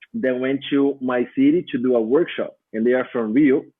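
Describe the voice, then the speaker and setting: A man talks in a medium-pitched voice. He speaks with a Brazilian Portuguese accent. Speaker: dance teacher and choreographer. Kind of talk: podcast interview answer.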